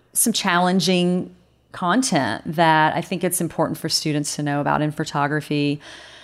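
Someone speaks with a slight Southern accent on a very clean recording with a silent background. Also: woman. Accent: slight southern drawl. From US South, North Carolina. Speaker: photography professor and artist. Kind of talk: interview.

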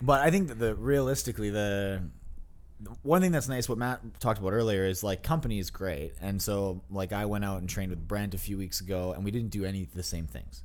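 With a plain, everyday voice, a man speaks at a fairly quick pace and a fairly low pitch. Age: 20s. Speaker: pro fitness athlete. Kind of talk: casual chat. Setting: studio.

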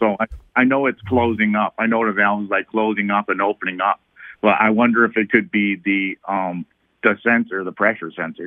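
A man speaks at a fairly quick pace in an unremarkable speaking voice, his fairly low pitch paired with fairly even intonation. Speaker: caller with car question. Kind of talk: call-in conversation. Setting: phone call.

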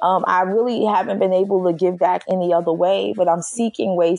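Speaking with a New York accent, a woman keeps a medium pitch and fairly even intonation. Her fairly quick speech is recorded with a dry, close sound with no echo. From Brooklyn, New York. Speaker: HR executive. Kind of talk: interview.

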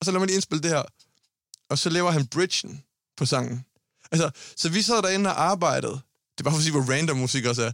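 In a very clean recording with a silent background and a dry, close sound with no echo, a man with a fairly high pitch talks at a very fast pace with ordinary pitch variation and long, frequent pauses. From Denmark, Aarhus. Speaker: singer. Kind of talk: casual chat. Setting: studio.

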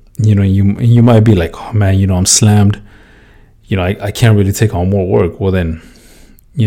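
A fairly low male voice, dark and mellow in tone, at a fairly quick pace with fairly even intonation. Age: 20s. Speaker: podcast host, construction worker. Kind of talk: casual monologue. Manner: casual, filler-heavy.

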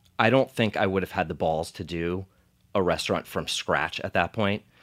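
On a very clean recording with a silent background, a man with a New Jersey accent speaks at a very deep, low pitch with ordinary pitch variation. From US, New Jersey (Monmouth County). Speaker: pizza chef and restaurant owner. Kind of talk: casual interview chat.

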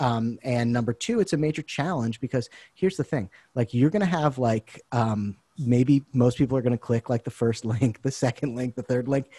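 On a very clean recording with a silent background and a dry, close sound with no echo, a somewhat breathy man with an American accent speaks at a medium pitch and a moderate pace with ordinary pitch variation. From US Northeast, Boston area. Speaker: marketing agency owner. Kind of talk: podcast interview.

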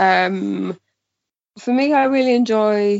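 A woman talks in a Welsh accent. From Wales, Pembrokeshire. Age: 20s. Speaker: mountain bike journalist. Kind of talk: casual chat.

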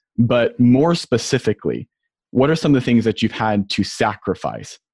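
A man's medium-pitched, plain, everyday voice, with lively intonation at a moderate pace, in a dry, close sound with no echo. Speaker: podcast host. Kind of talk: interview conversation.

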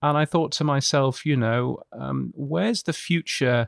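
Recorded very cleanly with a silent background and a dry, close sound with no echo, a man speaks at a moderate pace with a British accent. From United Kingdom. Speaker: radio futurologist. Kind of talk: interview. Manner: halting.

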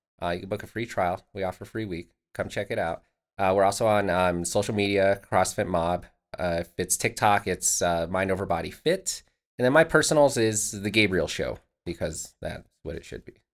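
Big swings in loudness mark this man's fairly low voice, which moves at a moderate pace with ordinary pitch variation on a very clean recording with a silent background. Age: 30s. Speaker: gym owner. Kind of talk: casual chat.

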